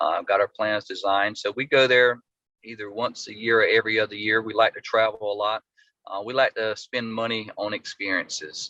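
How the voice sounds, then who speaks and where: In a dry, close sound with no echo, a man talks fairly quickly at a medium pitch, his tone bright and sharp and his intonation monotone and flat. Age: 40s. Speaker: custom home builder. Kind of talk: podcast interview.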